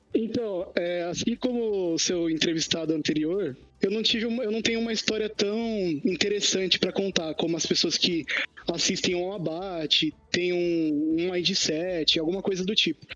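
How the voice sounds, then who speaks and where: Against music in the background, a man with a high pitch speaks at a moderate pace. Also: ordinary pitch variation. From Brazil, Poá (São Paulo state). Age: 20s. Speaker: podcast guest. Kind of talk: casual chat.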